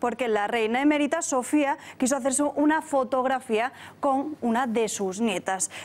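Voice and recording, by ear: At a moderate pace, a woman speaks with a high pitch and ordinary pitch variation.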